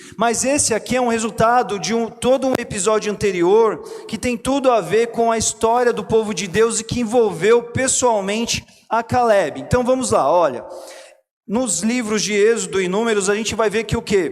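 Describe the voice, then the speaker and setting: This man's high voice moves at a moderate pace, its pitch varying in an ordinary way, while noticeable background noise runs underneath. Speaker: pastor. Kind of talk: sermon.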